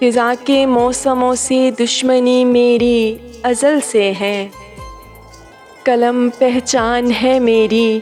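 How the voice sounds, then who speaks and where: Over music in the background, a woman speaks at a high pitch with fairly even intonation. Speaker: voiceover artist. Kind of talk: poetry reading. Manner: emotional, soulful.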